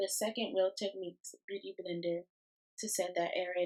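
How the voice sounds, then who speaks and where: A woman in a monotone with flat intonation. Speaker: beauty vlogger. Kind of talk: makeup tutorial voiceover. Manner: casual, hesitant with fillers.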